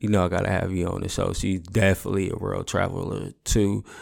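With vocal fry and a fairly low pitch, a man speaks at a moderate pace on a very clean recording with a silent background. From San Francisco Bay Area. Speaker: podcast host. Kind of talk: casual monologue. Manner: animated.

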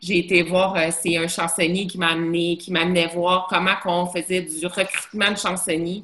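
In a fairly low pitch, a woman speaks with monotone, flat intonation. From Montreal, Quebec. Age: 40s. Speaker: bar owner. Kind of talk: casual chat. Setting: video call.

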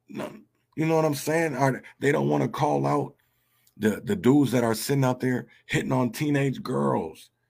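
Lively intonation marks this man's speech. His pitch is medium and his pace moderate. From North Minneapolis, Minnesota. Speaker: podcast host, activist. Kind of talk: casual monologue. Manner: halting, many repetitions.

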